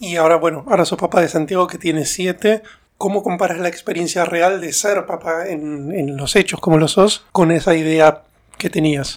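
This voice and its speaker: A man's high-pitched voice moves along at a moderate pace. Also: fairly even intonation. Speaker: podcast host and stand-up comedian. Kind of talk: casual interview chat.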